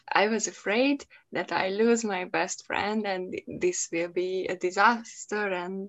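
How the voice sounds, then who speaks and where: A woman with a Hungarian accent speaks at a very slow pace. Her pitch is medium and her intonation fairly even. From Hungary. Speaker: podcast host, English learner. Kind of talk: casual chat. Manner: halting, hesitant, laughs often.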